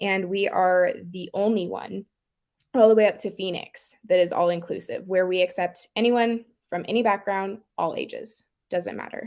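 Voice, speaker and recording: This woman has a normal speaking voice at a medium pitch. She talks at a moderate pace with fairly even intonation. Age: 20s. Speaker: dance teacher and pageant titleholder. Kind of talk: interview.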